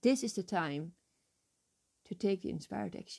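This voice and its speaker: A woman with a Dutch accent, fairly low-pitched, dark and mellow in tone, with vocal fry, at a moderate pace. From Netherlands. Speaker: life coach and podcast host. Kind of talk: motivational monologue. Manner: enthusiastic, warm.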